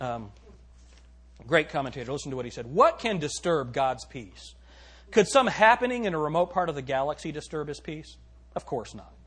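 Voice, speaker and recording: Over a quiet background, a man with a fairly high pitch and somewhat breathy voice speaks at a moderate pace with lively intonation. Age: 40s. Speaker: pastor. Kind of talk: sermon. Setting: church. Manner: animated.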